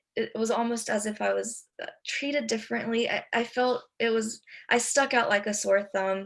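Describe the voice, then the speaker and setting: A woman speaks with a Spanish accent. Her pace is moderate. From Texas and North Carolina, US. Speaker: immigrant student panelist. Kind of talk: panel discussion.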